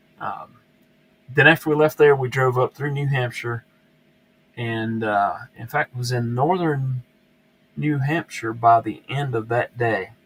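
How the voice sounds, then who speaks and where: A man with a Southern US accent, ordinary pitch variation, and long, frequent pauses. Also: medium pitch for a man, fairly slow pace, dry, close sound with no echo. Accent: southern twang. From US South, upstate South Carolina. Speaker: YouTube knife reviewer, live stream host. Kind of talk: casual live stream chat. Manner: halting, many fillers and repeats.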